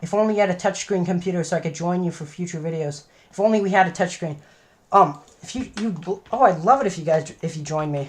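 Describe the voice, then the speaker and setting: A woman's fairly low, somewhat breathy voice at a very fast pace, with ordinary pitch variation and big swings in loudness. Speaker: gaming streamer. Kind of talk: live stream commentary. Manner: halting, with stutters and fillers.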